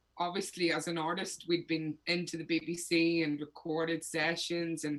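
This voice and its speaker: A woman in a Northern Irish accent, monotone and flat in intonation, at a fairly slow pace. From Northern Ireland. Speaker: singer-songwriter. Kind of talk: interview.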